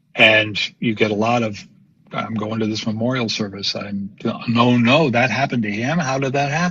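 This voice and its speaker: Man's medium-pitched voice with ordinary pitch variation over noticeable background noise. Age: 70s. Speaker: contemplative writer and former theater artist. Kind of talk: interview conversation. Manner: halting, many repeated words.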